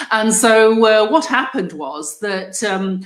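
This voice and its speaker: Heard over noticeable background noise, a woman speaks with an English accent and a fairly high pitch. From England. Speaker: group host, business owner. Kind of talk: online group discussion. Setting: live video stream.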